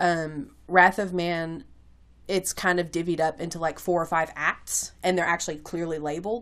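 A woman speaks with a slight Kentucky accent. Her pitch sits fairly low. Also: moderate pace. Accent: slight Kentucky country twang. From Kentucky, US. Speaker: podcast host, movie discussion. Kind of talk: casual chat. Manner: informal, laughs often.

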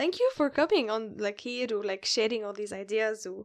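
In a quiet background, a woman speaks with an Arabic accent. Her pitch is fairly high and her pace fairly quick. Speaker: podcast host. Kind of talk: casual chat, code-switching Arabic and English.

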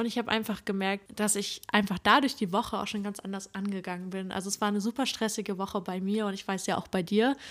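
A woman speaks very fast at a medium pitch, with fairly even intonation. The recording is very clean, with a silent background. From northeastern Germany, Usedom. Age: 20s. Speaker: psychology student, podcast co-host. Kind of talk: casual chat. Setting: sitting together on the floor in one room.

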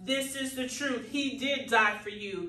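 Speaking at a fairly slow pace, a woman has a high pitch. Her voice carries audible room echo. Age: 30s. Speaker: minister and podcast host. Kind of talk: sermon.

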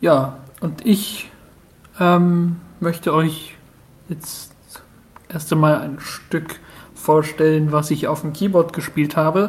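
A man's very slow delivery, fairly even in intonation and broken by long, frequent pauses. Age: 20s. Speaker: contestant in an online talent show. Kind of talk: self-introduction of a recorded entry.

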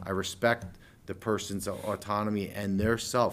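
A man's normal speaking voice, fairly low in pitch, at a moderate pace. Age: 40s. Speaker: chiropractor. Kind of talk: casual chat.

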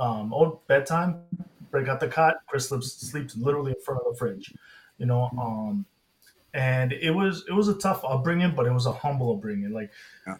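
A man with an American accent and an unremarkable speaking voice talks at a moderate pace and a medium pitch, with lively intonation. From Inglewood, California. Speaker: cancer research scientist. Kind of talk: personal testimony.

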